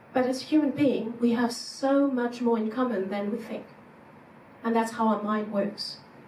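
A fairly high-pitched woman at a moderate pace, her intonation fairly even, with noticeable background noise. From France. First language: French. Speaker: psychologist and executive coach. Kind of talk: conference keynote talk. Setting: stage with audience.

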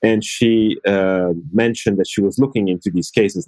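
A man with an Italian accent has a fairly low, dark, mellow voice. The sound is dry and close, with no echo. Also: quiet background. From Italy. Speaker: law professor. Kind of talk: casual interview.

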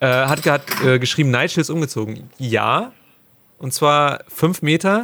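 A man speaks with a fairly high pitch and ordinary pitch variation. It is a plain, everyday voice. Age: 30s. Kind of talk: casual chat.

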